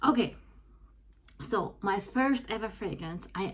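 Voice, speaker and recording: A woman speaks with a Russian accent. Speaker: fragrance YouTuber. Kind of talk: casual product review vlog. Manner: hesitant, many fillers.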